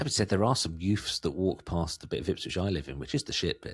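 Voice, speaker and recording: A man with a strong Suffolk accent speaks very fast in a very deep, low voice, with vocal fry and lively intonation. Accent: thick Suffolk. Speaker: podcast host. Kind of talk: casual chat.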